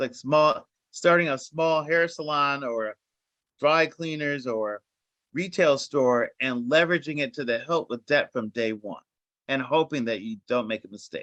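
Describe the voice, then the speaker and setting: A man with a fairly high pitch talks at a fairly slow pace in a bright, sharp tone with ordinary pitch variation, in a dry, close sound with no echo. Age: 50s. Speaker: finance executive and former banker. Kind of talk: panel discussion.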